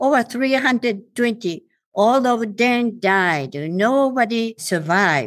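In a very clean recording with a silent background, a woman with a Japanese accent speaks at a very slow pace with very wide pitch swings. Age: 80s+. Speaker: atomic bomb survivor and anti-nuclear campaigner. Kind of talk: interview testimony. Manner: halting.

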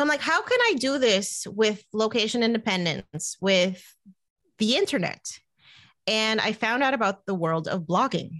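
Fairly high-pitched woman with a New Jersey accent, lively intonation, a moderate pace and a quiet background. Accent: American, New Jersey. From New Jersey, US. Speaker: money coach and podcaster. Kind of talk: casual interview.

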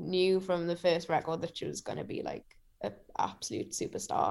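This is a woman speaking with a Geordie accent. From Newcastle, northeast England. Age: 20s. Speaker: singer-songwriter. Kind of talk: casual interview chat. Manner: halting, many fillers.

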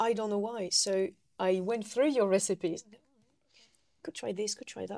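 A woman with a French accent and a dark, mellow tone, medium pitch, ordinary pitch variation, moderate pace, big swings in loudness, and long, frequent pauses. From eastern France. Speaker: food historian and living history demonstrator. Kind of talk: casual chat. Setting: on location at a heritage centre.

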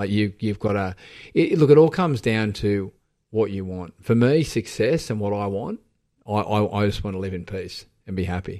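With an Australian accent, a man speaks at a fairly low pitch and a moderate pace. His loudness swings widely, while his pitch variation stays ordinary. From Sydney, Australia (eastern suburbs). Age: 40s. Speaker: fitness community founder. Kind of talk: casual interview. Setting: radio studio.

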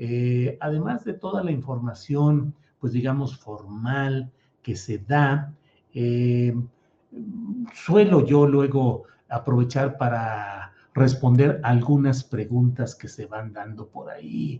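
Big swings in loudness mark this man's medium-pitched voice. He speaks at a very slow pace. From Mexico, Torreón, raised in San Luis Potosí. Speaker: political journalist and show host. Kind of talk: live political commentary show. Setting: live stream.

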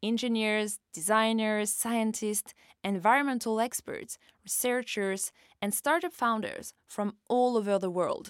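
A woman with a French accent, fairly high in pitch and fairly slow, with ordinary pitch variation, on a very clean recording with a silent background. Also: dry, close sound with no echo. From France. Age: 30s. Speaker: podcast host and journalist. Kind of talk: scripted narration.

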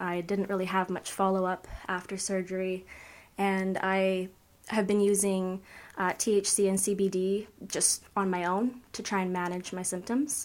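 In a Canadian accent, a woman speaks at a medium pitch and a fairly slow pace in a flat monotone. The recording is very clean, with a silent background. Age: 20s. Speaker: patient advocate. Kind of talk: casual interview chat.

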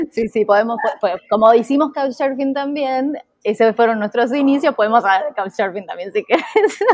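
In a dry, close recording with no echo, a woman speaks with high pitch and lively intonation. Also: moderate pace. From Argentina, Junín (Buenos Aires province). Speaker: travel content creator and house sitter. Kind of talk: interview.

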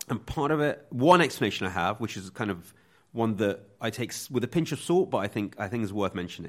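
Pitch swings very widely at a very fast pace. The recording is very clean with a silent background. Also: man, medium pitch for a man. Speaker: writer on propaganda. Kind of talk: interview.

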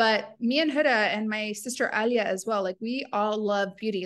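A woman's voice, an unremarkable speaking voice, sits at a fairly high pitch. Her pitch varies in an ordinary way. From rural United States, Iraqi family. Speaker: beauty brand co-founder. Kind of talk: interview.

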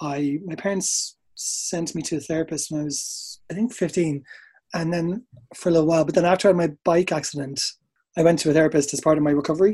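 Against a quiet background, a dark, mellow voice with an Irish accent moves at a fairly quick pace with fairly even intonation. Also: man, high pitch for a man. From Ireland, Dublin. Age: 30s. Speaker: dancer and choreographer. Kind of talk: casual chat.

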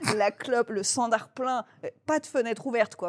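A normal speaking voice belongs to a woman with fairly high pitch and ordinary pitch variation. She talks at a moderate pace in a dry, close sound with no echo. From Toulouse, southern France. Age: 30s. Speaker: comedian and novelist. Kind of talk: casual chat.

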